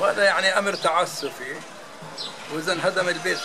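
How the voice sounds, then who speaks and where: Fairly quick speech over noticeable background noise. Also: man. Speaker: homeowner facing demolition. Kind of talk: interview answer. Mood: worried, aggrieved. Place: street. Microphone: phone near.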